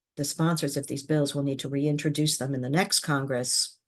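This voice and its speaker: Over a quiet background, a woman speaks at a fairly quick pace in a very deep, low pitch. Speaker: government affairs executive, former public safety official. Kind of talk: podcast interview. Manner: hesitant with fillers.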